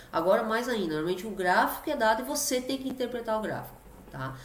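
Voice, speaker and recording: Noticeable background noise and audible room echo surround a woman with a fairly high voice. She talks at a very fast pace with lively intonation. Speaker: physics teacher. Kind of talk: lecture.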